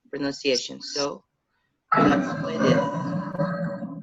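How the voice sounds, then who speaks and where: The voice has a Lisbon accent and a bright, sharp tone. Its pitch variation is ordinary. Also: man. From Portugal, Lisbon. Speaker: language teacher. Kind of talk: lecture. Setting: video call.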